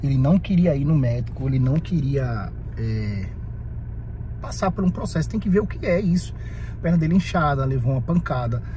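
A man speaks at a moderate pace. There is light background noise, and the sound is dry with no echo. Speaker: vlogger. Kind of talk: casual vlog chat. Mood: worried, exasperated. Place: car. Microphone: phone near.

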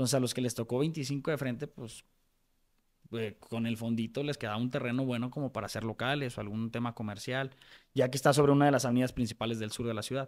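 The background is quiet as a man talks at a very fast pace. His intonation stays fairly even. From Mexico, Guadalajara; Jalisco, Mexico. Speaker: lawyer and real estate developer; podcast guest. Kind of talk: interview conversation; interview answer. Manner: halting, many fillers. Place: studio. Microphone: studio mic.

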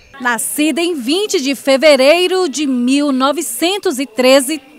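A woman with a high pitch talks at a very slow pace over music in the background. Her pitch variation is ordinary. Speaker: TV news reporter. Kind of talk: TV news narration.

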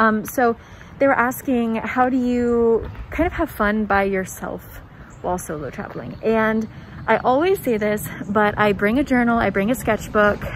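A woman speaks at a fairly high pitch with ordinary pitch variation. Her pace is moderate, with few pauses.

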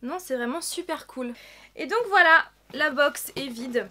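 Her voice is high-pitched with a bright, sharp tone, as a woman talks at a fairly slow pace with ordinary pitch variation.

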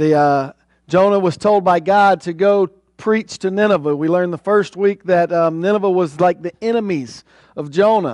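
Against a quiet background, a man speaks at a high pitch. His pitch variation is ordinary. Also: dry sound with no echo. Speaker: preacher. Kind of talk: sermon. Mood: friendly, joking. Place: church.

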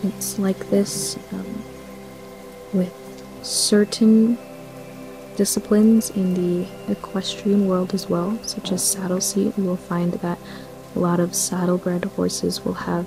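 Noticeable background noise fills the recording. Through it, a woman talks at a very slow pace. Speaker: ASMR creator. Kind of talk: ASMR reading. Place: home room.

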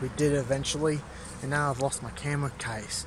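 A man's voice in dry sound with no echo, against loud background noise. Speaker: travel vlogger. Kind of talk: casual vlog chat. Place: street. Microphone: phone near.

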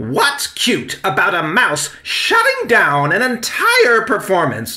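A man's put-on character voice, high and bright with a sharp tone, slow and full of very wide pitch swings over faint background noise

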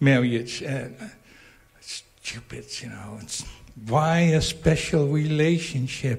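With a somewhat breathy voice and fairly even intonation, a man speaks at a very slow pace. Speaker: retreat participant. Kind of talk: testimony. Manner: halting.

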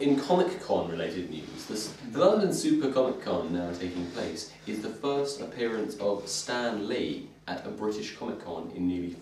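With hardly any pauses, a man speaks at a moderate pace and fairly low pitch. Light background noise and audible room echo are present. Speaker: group vlog host. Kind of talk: casual vlog chat. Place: home room. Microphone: camera far.

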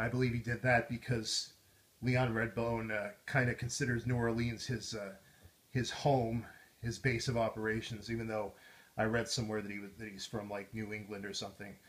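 Somewhat breathy and monotone, a man speaks at a moderate pace in a medium pitch with flat intonation. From US Midwest. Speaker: YouTuber. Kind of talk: casual monologue.

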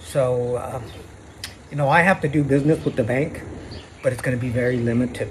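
Over light background noise, a man with an American accent talks at a fairly quick pace with fairly even intonation. He leaves long, frequent pauses. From Arizona, Phoenix area. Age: 60s. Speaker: vlogger. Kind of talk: personal video monologue. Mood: serious, aggrieved, religious. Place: street. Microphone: phone near.

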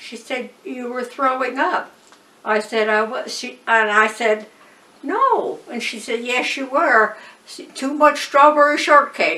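The delivery is very slow, with big swings in loudness. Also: woman, high pitch for a woman, ordinary pitch variation. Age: 80s+. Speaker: retired piano teacher. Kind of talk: interview answer. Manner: casual storytelling. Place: home room.

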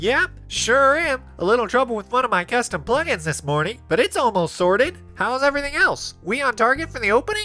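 Clear music plays in the background as a female-sounding put-on character voice runs at a fairly quick pace with hardly any pauses and fairly high pitch. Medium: machinima. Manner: casual, then alarmed.

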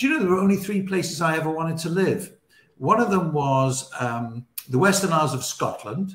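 Speaking with a British accent, a man talks at a fairly quick pace in a high pitch with lively intonation, and room echo is audible. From England. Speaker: radio broadcaster; interview guest. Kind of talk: casual interview chat. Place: home room.

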